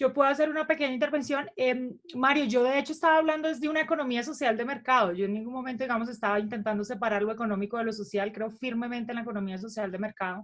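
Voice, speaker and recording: With a slight northeastern Colombian accent, a woman speaks at a very fast pace and a high pitch, with ordinary pitch variation and hardly any pauses. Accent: slight Cúcuta. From Cúcuta, Colombia. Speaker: economist. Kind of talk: panel discussion.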